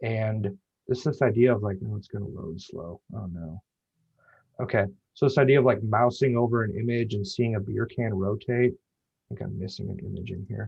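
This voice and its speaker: This man's voice is fairly low and somewhat breathy, and its pitch varies in an ordinary way. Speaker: web designer. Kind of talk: meetup presentation. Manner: fast; casual, filler-heavy.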